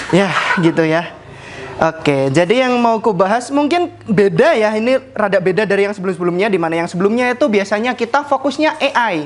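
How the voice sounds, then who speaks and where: Over noticeable background noise, someone with a strong Javanese accent talks at a fairly quick pace. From Central Java (Jepara). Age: 20s. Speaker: project manager giving internal talk. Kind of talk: casual presentation to colleagues. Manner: fast.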